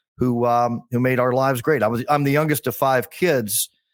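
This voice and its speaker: In a normal speaking voice, a man talks at a fairly quick pace with medium pitch and ordinary pitch variation, on a very clean recording with a silent background. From US Mid-Atlantic (Bethesda, Maryland). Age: 60s. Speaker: golf communications executive and podcaster. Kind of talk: casual interview chat.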